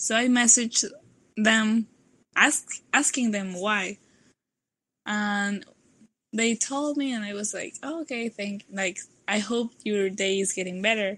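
A woman with a Mexican accent and a bright, sharp tone, fairly high in pitch with ordinary pitch variation, at a fairly slow pace with long, frequent pauses. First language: Spanish. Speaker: nanotechnology student. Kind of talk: podcast interview answer. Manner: relaxed.

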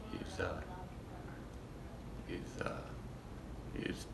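Behind a man's speech, background noise is clearly noticeable. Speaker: chiropractic clinic patient giving a testimonial. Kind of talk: testimonial interview answer. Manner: soft-spoken. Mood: soft spoken, grateful. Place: office. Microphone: phone near.

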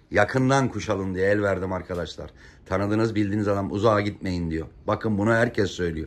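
This man talks fairly quickly in a fairly low pitch. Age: 50s. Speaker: pigeon fancier vlogger. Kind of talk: casual vlog narration. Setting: outdoors on a rooftop loft. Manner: animated. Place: home room.

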